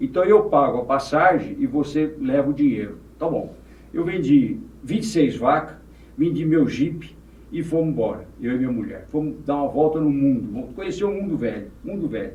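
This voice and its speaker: Audible room echo surrounds a man with a fairly high pitch and lively intonation. His tone is dark and mellow, somewhat breathy. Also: moderate pace. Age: 80s+. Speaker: former mayor and businessman. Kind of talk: podcast interview.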